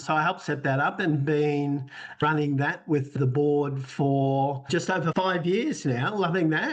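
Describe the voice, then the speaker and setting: A man with an Australian accent, fairly high pitch and ordinary pitch variation, at a moderate pace over noticeable background noise. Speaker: sports association executive. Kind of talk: podcast interview.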